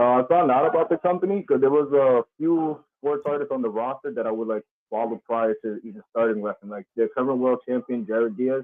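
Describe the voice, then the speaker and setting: This man talks at a fairly quick pace with hardly any pauses. His medium pitch carries lively intonation. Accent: New York. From New York, the Bronx. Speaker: professional wrestler. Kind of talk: casual interview.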